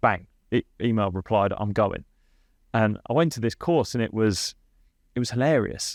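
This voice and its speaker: The speaker leaves long, frequent pauses, with ordinary pitch variation. The recording is very clean, with a silent background and a dry, close sound that has no echo. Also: man, medium pitch for a man. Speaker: podcast host and cricket coach. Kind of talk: casual podcast conversation. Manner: tends to speak fast.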